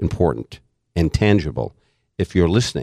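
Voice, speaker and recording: Vocal fry runs through this speech. The pace is moderate. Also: man. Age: 60s. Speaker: financial advisor and author. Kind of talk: casual chat. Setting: studio.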